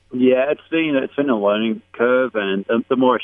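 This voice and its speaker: With an Australian accent, a man delivers his words at a fairly quick speed. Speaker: YouTube street interviewer. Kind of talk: radio interview.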